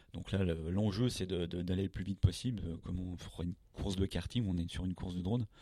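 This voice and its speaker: At a fairly quick pace, a man with a very deep, low pitch and a dark, mellow tone keeps his intonation fairly even. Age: 40s. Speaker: drone company founder. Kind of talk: interview. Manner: halting.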